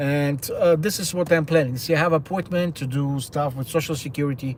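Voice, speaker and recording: A man talks at a fairly quick pace with a fairly high pitch. His voice is somewhat breathy and his intonation fairly even. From Ukraine. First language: Russian. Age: 60s. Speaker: livestreamer. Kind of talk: casual live-stream monologue. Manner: halting.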